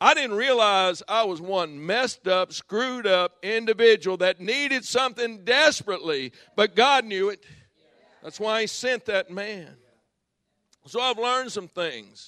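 A man projects his voice in a raised, bright, sharp tone at a high pitch. He speaks at a fairly slow pace with ordinary pitch variation. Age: 60s. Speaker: guest pastor and former lawyer. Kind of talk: sermon. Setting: church conference with audience. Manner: animated.

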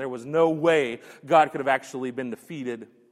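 A man's plain, everyday voice, medium in pitch with ordinary pitch variation, at a fairly quick pace. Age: 30s. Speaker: pastor. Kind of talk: sermon. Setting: church.

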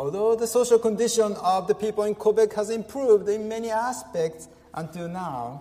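Noticeable background noise runs under a man's voice. He speaks at a moderate pace with a high pitch and ordinary pitch variation. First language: Japanese. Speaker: pastor. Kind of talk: sermon. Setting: church. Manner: halting.

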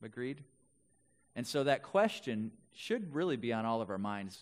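In a very clean recording with a silent background, a man with an American accent and a plain, everyday voice speaks at a moderate pace. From Wisconsin, Milwaukee area. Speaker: pastor. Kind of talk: sermon.

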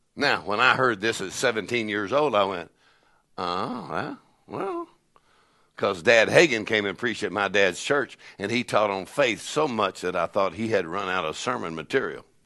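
A man's fairly low-pitched voice, animated and with a bright, sharp tone, ordinary pitch variation and a quiet background. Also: moderate pace. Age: 60s. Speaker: preacher. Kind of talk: sermon. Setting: church with congregation.

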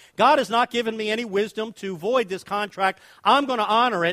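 A man with an American accent speaks in a raised, projected voice, high in pitch, with a bright, sharp, animated tone, ordinary pitch variation and a moderate pace. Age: 60s. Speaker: guest preacher. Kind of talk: sermon. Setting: church with congregation.

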